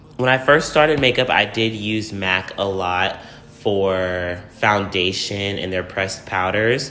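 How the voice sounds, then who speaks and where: A man's fairly low-pitched voice at a fairly slow pace, with noticeable background noise. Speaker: beauty youtuber. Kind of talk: makeup tutorial.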